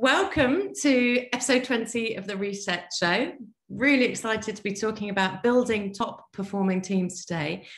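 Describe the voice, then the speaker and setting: A woman speaks with fairly high pitch and ordinary pitch variation. Her voice is somewhat breathy. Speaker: podcast host and team coach. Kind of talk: interview podcast. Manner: fast.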